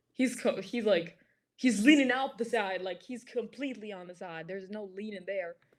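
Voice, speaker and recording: A woman at medium pitch with an American accent, moderate pace and ordinary pitch variation, in a very clean recording with a silent background. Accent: American accent, never lived in US. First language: Greek. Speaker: stranger in online video chat. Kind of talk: casual chat. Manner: halting, many fillers.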